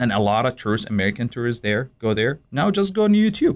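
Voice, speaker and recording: On a very clean recording with a silent background, a man with an Iraqi accent speaks at a medium pitch with very wide pitch swings. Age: 30s. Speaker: immigrant sharing life story. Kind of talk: radio interview. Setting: studio.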